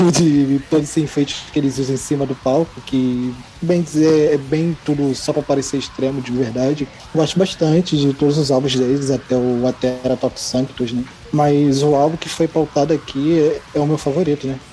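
At a moderate pace, a man speaks in a monotone, flat intonation at a fairly high pitch, with noticeable background noise. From Brazil, Rio de Janeiro. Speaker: podcast guest, listener. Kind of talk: casual chat.

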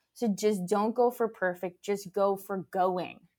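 This is a very clean recording with a silent background. The speaker is a woman with an American accent. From Los Angeles and Mexico. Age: 30s. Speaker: entrepreneur. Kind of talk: interview. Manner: animated.

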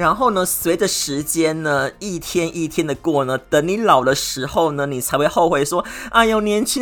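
A man talks at a fairly slow pace in a fairly high pitch, with ordinary pitch variation. His tone is animated. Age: 40s. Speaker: podcast host. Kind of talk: solo monologue. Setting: indoors with air conditioning.

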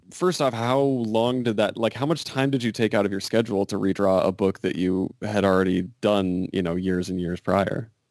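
This is a man speaking. He keeps a moderate pace. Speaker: podcast host. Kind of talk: interview. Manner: halting, filler-heavy.

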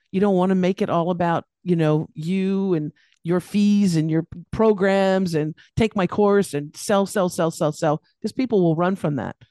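A woman with a Californian accent speaks at a medium pitch and moderate pace, her tone dark and mellow and her intonation fairly even. The sound is dry and close with no echo, over a quiet background. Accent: Californian American. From US, Los Angeles, California. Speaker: business coach. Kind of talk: interview.

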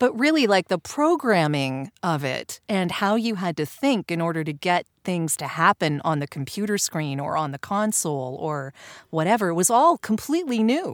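A woman's fairly low, cheerful voice with very wide pitch swings, a moderate pace and hardly any pauses, dry and close with no echo, on a very clean recording with a silent background. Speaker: voiceover artist. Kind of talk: casual interview chat. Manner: laughs often, cheerful.

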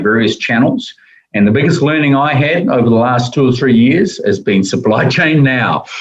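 A man talks at a fairly quick pace. He has a New Zealand accent. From New Zealand, Wellington. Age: 60s. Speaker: logistics executive. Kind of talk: interview conversation.

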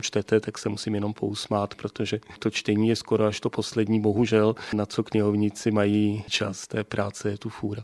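A fairly low-pitched man's voice, monotone and flat, dry and close with no echo. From South Bohemia, České Budějovice. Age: 50s. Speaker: library director. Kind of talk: radio interview. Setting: director's office.

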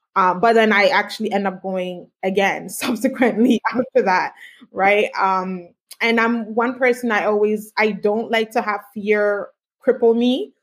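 A woman talks at a fairly slow pace in an ordinary speaking voice. Her pitch is fairly high and her intonation fairly even. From Canada. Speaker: tech entrepreneur. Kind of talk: interview. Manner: many filler words.

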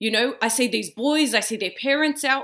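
In an Australian accent, a woman talks at a moderate pace with a bright, sharp tone. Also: very clean recording, silent background. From Australia, Western Sydney. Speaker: community leader and sports founder. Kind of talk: interview conversation.

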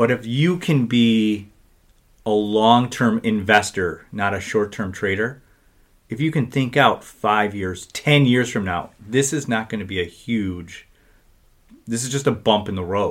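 A man with a plain, everyday voice speaks at a fairly slow pace and medium pitch, with ordinary pitch variation. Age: 40s. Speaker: financial advisor. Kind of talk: casual chat.

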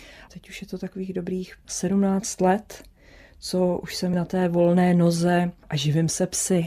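A woman with a medium-pitched voice speaks at a fairly slow pace in a dark, mellow tone, her intonation flat and monotone while her loudness swings widely, on a very clean recording with a silent background. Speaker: sled dog racer. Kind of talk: interview.

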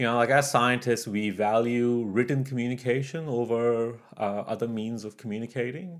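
A man at a medium pitch and moderate pace, a plain, everyday voice with ordinary pitch variation, on a very clean recording with a silent background. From Canada. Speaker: geologist and podcaster. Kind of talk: interview. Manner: casual with many fillers.

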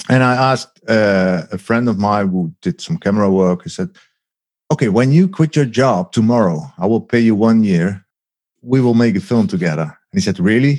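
A man talks at a moderate pace and a medium pitch, with very wide pitch swings. The sound is dry and close, with no echo. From Netherlands, agricultural region. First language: Dutch. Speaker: documentary maker. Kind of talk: interview. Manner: halting.

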